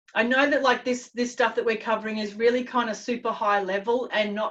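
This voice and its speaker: A woman's fairly high, plain, everyday voice with a plain, everyday voice and fairly even intonation. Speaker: confidence coach. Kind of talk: webinar presentation.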